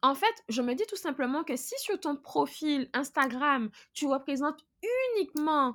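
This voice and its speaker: Very slowly, a woman speaks at a high pitch with very wide pitch swings on a very clean recording with a silent background. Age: 30s. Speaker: content creator. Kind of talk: interview.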